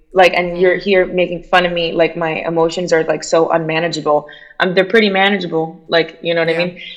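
Against noticeable background noise, a woman speaks very fast in a fairly low, monotone, flat voice. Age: 30s.

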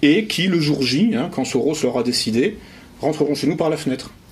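Moderate pacing with very wide pitch swings, plus noticeable background noise and audible room echo. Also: man. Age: 40s. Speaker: essayist and conference speaker. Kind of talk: public lecture. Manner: halting, many repetitions.

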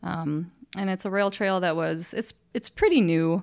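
A woman with an American accent at a moderate pace, her fairly low pitch and fairly even intonation captured in a very clean recording with a silent background. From northwest Illinois, US Midwest. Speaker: amateur cyclist and fundraiser. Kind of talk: casual interview.

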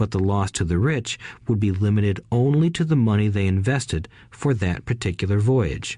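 A man talks with lively intonation and a dark, mellow, somewhat breathy tone. His pace is moderate and the background is quiet. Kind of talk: audiobook reading. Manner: even, measured narration.

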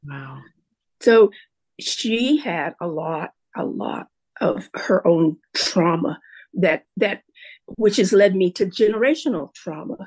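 At a very slow pace with long, frequent pauses, a woman of medium pitch speaks with vocal fry, very wide pitch swings and big swings in loudness. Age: 70s. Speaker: retired teacher, podcast guest. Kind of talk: casual interview about personal story and recovery. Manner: reflective, hesitant with repeated words.

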